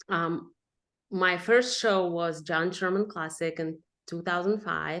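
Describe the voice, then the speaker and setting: A woman with a Russian accent, fairly low in pitch, very slow and fairly even in intonation. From Russia, moved to Texas at fifteen. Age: 30s. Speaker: pro bikini athlete. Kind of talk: podcast interview.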